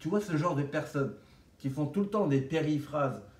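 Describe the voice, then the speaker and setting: A man speaks at a fairly slow pace in a somewhat breathy voice with ordinary pitch variation. Audible room echo surrounds him. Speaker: vlogger sharing orthodontic treatment. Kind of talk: casual vlog monologue. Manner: animated.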